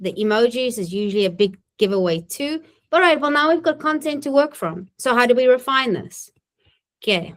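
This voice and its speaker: A woman's high voice in a non-native accent, with very wide pitch swings. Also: fairly quick pace. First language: not English. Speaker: municipal government trainer and webinar presenter. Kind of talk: webinar tutorial with live demo. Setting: recorded webinar. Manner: casual, conversational.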